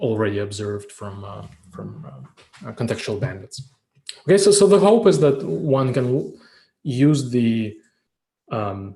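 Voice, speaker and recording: Speaking at a fairly slow pace with long, frequent pauses, a man uses a somewhat breathy, dark and mellow voice of medium pitch. His pitch swings very widely, and audible room echo surrounds him. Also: big swings in loudness. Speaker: professor. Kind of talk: lecture. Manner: halting, many fillers.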